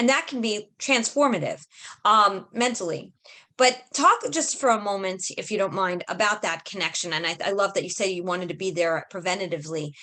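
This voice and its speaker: With an American accent, a woman speaks at a medium pitch with lively intonation. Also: fairly quick pace. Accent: Brooklyn accent, audible when talking fast. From New York, Brooklyn. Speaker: podcast host. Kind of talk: podcast interview.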